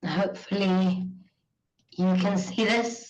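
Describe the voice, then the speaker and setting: A woman speaks very slowly at a medium pitch, her somewhat breathy voice holding a fairly even intonation against audible room echo. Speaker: university teaching academic. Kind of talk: panel presentation.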